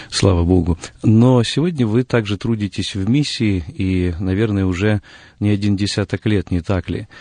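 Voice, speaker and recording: In a dry, close sound with no echo, a man speaks with a fairly low pitch, a dark, mellow tone and ordinary pitch variation. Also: moderate pace, quiet background. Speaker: radio host. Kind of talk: studio interview. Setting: radio studio. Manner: formal, polite.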